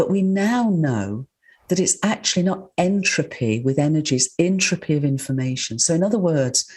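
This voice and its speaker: With a quiet background, a woman speaks in a fairly low, somewhat breathy voice marked by very wide pitch swings. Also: moderate pace, very even loudness. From northern England. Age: 70s. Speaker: scientist and author. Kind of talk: interview.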